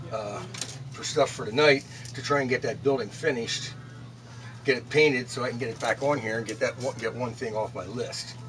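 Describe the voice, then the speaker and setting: Noticeable noise fills the background. A man talks fairly quickly in a flat, monotone way. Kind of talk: casual vlog chat. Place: shop. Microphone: camera far.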